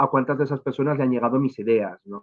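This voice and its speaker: A man talks at a very fast pace. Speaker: education official. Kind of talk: lecture. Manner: halting with fillers.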